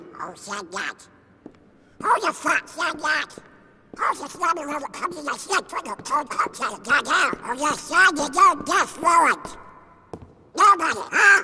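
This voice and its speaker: A man in a cartoonish character voice speaks at an extremely high pitch and a moderate pace, with long, frequent pauses. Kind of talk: military barking.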